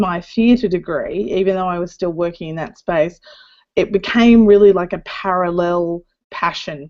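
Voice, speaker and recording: With an Australian accent, a woman talks in a dark, mellow tone and ordinary pitch variation. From Australia (Darwin). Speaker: community manager. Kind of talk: panel discussion.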